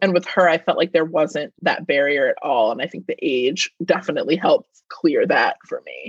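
A woman speaks at a moderate pace with hardly any pauses, her loudness swinging widely. The sound is dry and close, with no echo. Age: 30s. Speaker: film student and podcast guest. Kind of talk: casual chat.

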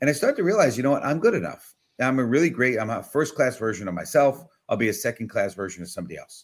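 A man with an American accent talks at a very fast pace, with very wide pitch swings and big swings in loudness. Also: medium pitch for a man. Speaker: business automation consultant and speaker. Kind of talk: casual interview chat. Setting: video call. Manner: halting, filler words, unscripted.

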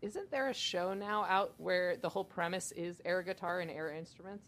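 A woman talks at a moderate pace in an ordinary speaking voice, medium in pitch with ordinary pitch variation. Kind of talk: casual chat.

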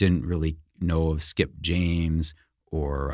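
Fairly even intonation in a man's very deep, low-pitched voice. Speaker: author and biographer. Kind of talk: interview. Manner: halting.

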